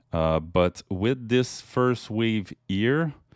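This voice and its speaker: A man with a French accent speaks at a very slow pace with lively intonation on a very clean recording with a silent background. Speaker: crypto YouTuber, chart analyst. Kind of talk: technical analysis commentary. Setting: webcam video recording. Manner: halting, many fillers.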